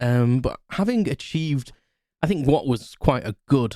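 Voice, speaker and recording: Speaking with an English accent, a man uses ordinary pitch variation. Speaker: podcast host. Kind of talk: casual solo podcast chat. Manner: fast; halting, many fillers and restarts.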